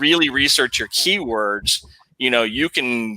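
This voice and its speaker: This man has a bright, sharp tone, a medium pitch and a slight Southern US accent. He speaks at a fairly slow pace with ordinary pitch variation. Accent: slight Southern drawl. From Texas. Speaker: podcast host. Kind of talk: casual chat.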